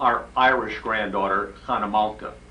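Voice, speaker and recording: A man talks at a very slow pace. Noticeable background noise and audible room echo surround him. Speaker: relative. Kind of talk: recorded birthday greeting. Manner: halting.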